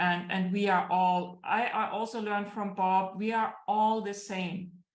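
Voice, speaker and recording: A woman with a German accent speaks fairly slowly at a medium pitch in a flat monotone, with audible room echo. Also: hardly any pauses. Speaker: business coach. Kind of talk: interview. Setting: livestream. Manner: halting.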